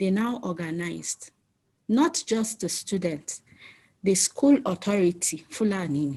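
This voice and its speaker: Her voice is dark and mellow, somewhat breathy, with lively intonation as this woman talks at a fairly slow pace. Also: medium pitch for a woman. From northern Nigeria, Zaria. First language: Yoruba. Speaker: community activist. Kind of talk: town hall speech.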